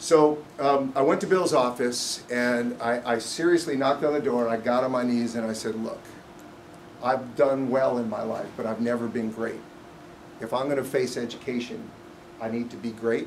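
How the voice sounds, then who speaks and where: Amid noticeable background noise and audible room echo, a man with an American accent speaks at a moderate pace in a medium pitch with ordinary pitch variation. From US East Coast. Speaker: business executive. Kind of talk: speech. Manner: loud; unscripted.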